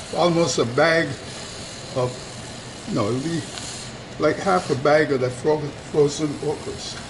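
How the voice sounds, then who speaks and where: Fairly slow speech with ordinary pitch variation, long, frequent pauses and noticeable background noise. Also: man, fairly high pitch for a man. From Barbados. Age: 80s+. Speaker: retired engineer, home cook. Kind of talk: cooking demonstration.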